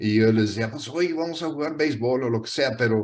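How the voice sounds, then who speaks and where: A man with a northern Mexican accent speaks at medium pitch and a moderate pace. His intonation is lively against a quiet background. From northern Mexico (Monterrey), raised by US missionary parents. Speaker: missionary. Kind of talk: testimony. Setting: speaking to a prayer group. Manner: casual, storytelling with repetitions.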